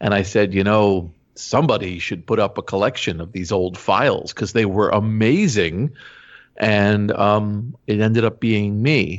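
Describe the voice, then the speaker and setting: This man has a plain, everyday voice, fairly low in pitch with ordinary pitch variation, and he speaks at a fairly slow pace. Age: 50s. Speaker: digital archivist. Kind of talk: interview.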